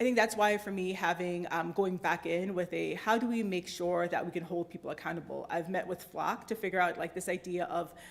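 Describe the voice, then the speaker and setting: Fairly quick, fairly even intonation, hardly any pauses. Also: woman, fairly low pitch for a woman. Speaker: civil liberties advocate and lobbyist. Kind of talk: Q&A after a talk. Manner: fast.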